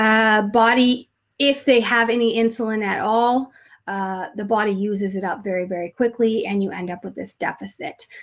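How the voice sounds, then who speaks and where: Speaking with a Canadian accent at a moderate pace, a woman keeps a fairly high pitch with ordinary pitch variation. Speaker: nursing instructor. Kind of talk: lecture. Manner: halting, many fillers.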